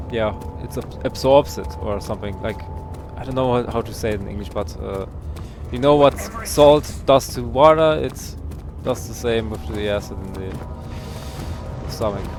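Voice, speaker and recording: A man's fairly low voice with very wide pitch swings, big swings in loudness and long, frequent pauses, over music in the background. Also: moderate pace. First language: not English. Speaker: streamer. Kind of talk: gaming livestream commentary. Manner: halting.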